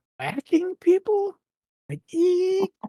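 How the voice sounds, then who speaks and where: Pitched extremely high, the squeaky voice is a put-on character voice. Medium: actual play.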